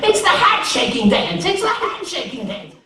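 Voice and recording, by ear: A man performs a put-on character voice at an extremely high pitch with a bright, sharp tone and very wide pitch swings. He keeps a moderate pace, and audible room echo surrounds him.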